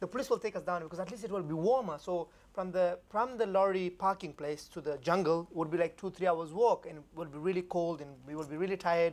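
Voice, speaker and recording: A man with a high pitch races along at a very fast pace with hardly any pauses, his pitch varying in an ordinary way while his loudness swings widely. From Afghanistan. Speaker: refugee memoir author. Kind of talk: panel conversation. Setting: stage with audience.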